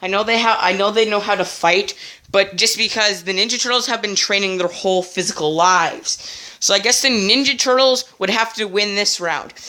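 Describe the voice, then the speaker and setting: A woman at a medium pitch and a fairly quick pace. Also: ordinary pitch variation. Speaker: YouTuber reviewing cartoons and toys. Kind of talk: casual video commentary. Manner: fast; hesitant, many fillers.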